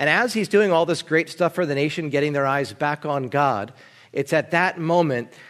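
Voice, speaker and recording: A man with an American accent and a plain, everyday voice, fairly high in pitch, with ordinary pitch variation, at a moderate pace. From New Jersey. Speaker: pastor. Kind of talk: sermon.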